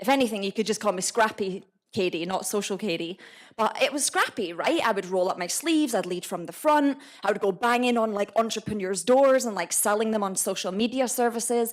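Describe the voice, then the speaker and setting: Speaking fairly quickly with a Scottish accent, this voice sounds animated and has ordinary pitch variation. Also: woman, fairly high pitch for a woman. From Scotland, Edinburgh. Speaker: entrepreneur. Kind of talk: talk to a live audience.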